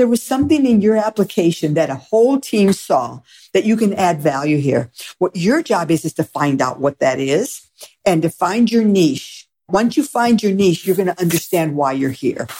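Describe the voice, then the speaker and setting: Moving at a moderate pace, the voice has a dark, mellow tone and very wide pitch swings. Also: woman, medium pitch for a woman. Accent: American. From Michigan. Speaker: sociology professor. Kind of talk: interview.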